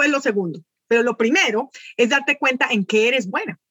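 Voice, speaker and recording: A woman's raised, projected voice, bright and sharp in tone, with a dry, close sound and no echo. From Colombia, raised in United States. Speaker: virtual assistant. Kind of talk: interview.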